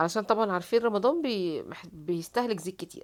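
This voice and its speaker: A woman talks fairly quickly, and the recording is very clean with a silent background. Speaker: home cooking vlogger. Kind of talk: voiceover narration of cooking vlog. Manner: casual, many fillers.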